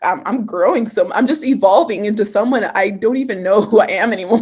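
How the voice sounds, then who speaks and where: A woman's fairly high, animated voice at a moderate pace, with ordinary pitch variation. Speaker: personal development trainer. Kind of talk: live coaching Q&A.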